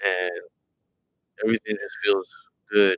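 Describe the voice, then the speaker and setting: The man's voice sounds dry and close with no echo as he talks at a moderate pace. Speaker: tarot reader streamer. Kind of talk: live stream chat. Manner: monotone.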